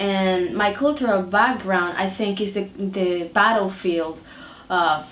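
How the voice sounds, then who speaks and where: A woman with a Dominican accent speaks amid audible room echo. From Dominican Republic. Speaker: artist. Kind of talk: interview. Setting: artist's studio. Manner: hesitant, many fillers.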